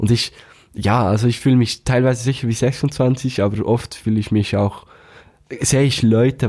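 A man speaks in a dark, mellow, somewhat breathy voice with ordinary pitch variation. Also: very clean recording, silent background. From Switzerland, canton of Bern (Thun). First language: Swiss German (Bernese) (speaking German). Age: 20s. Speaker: band manager, musician and slam poet. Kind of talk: casual interview.

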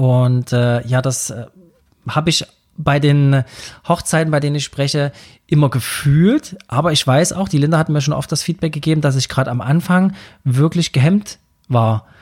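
A fairly high, somewhat breathy man's voice with ordinary pitch variation, moderate pace and long, frequent pauses, on a very clean recording with a silent background and a dry, close sound with no echo. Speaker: podcast host and wedding speaker. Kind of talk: solo podcast monologue.

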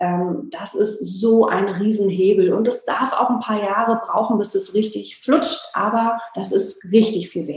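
Ordinary pitch variation and a very slow pace in a woman's fairly high-pitched voice. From Berlin, former East Germany. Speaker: business coach for photographers. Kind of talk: interview. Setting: video call.

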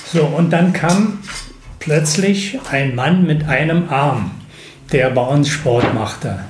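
A man with a fairly high voice speaks at a very slow pace, with long, frequent pauses, lively intonation and very even loudness, over noticeable background noise and audible room echo. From eastern Germany, Bernau near Berlin. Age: 70s. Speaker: retired teacher and basketball club founder. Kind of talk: interview. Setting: in person.

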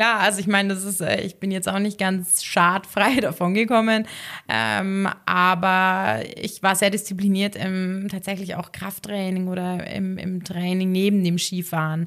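At a moderate pace and medium pitch, a woman with a Bavarian accent speaks with fairly even intonation in a very clean recording over a silent background. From Upper Bavaria, Garmisch-Partenkirchen district. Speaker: sport psychologist and former freestyle skier. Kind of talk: casual interview.

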